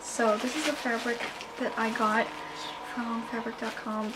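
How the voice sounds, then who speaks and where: Moderate pace, flat monotone intonation and fairly high pitch from a woman, with noticeable background noise. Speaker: cosplayer. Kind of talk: casual talk to camera.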